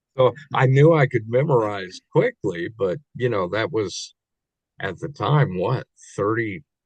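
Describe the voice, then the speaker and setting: Lively in intonation and somewhat breathy, a man with a Midwestern US accent speaks at a medium pitch and a fairly slow pace. The sound is dry and close, with no echo. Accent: US Midwest. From Kansas City, Missouri. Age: 60s. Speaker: actor. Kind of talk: interview. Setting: podcast. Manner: halting.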